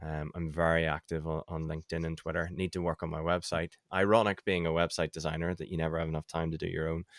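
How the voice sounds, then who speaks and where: A very fast, monotone, flat delivery in a Northern Irish accent with hardly any pauses, dry and close with no echo, on a very clean recording with a silent background. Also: man, very deep, low pitch for a man. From Northern Ireland. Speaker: website designer and email marketing expert. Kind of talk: casual interview chat.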